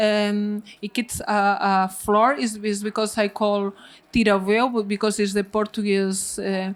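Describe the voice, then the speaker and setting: The voice, with a Spanish accent, moves at a fairly slow pace in monotone, flat intonation. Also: woman, medium pitch for a woman. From Spain, Galicia. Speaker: winemaker. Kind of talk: panel talk at wine tasting. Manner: halting, many fillers.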